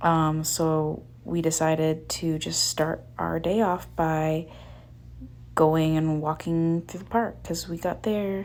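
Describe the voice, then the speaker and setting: At a very slow pace, a woman talks with a very deep, low pitch and fairly even intonation. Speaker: travel vlogger. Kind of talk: casual vlog narration. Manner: monotone; hesitant with many fillers.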